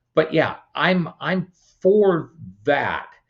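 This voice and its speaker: A man with vocal fry and an American accent. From California. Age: 60s. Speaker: political candidate. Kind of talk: interview. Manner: repetitive, stammering.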